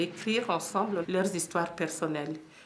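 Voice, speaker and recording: The speech has ordinary pitch variation and is heard through noticeable background noise. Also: woman. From Democratic Republic of the Congo. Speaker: HIV/AIDS support volunteer. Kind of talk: interview answer. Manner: calm, measured.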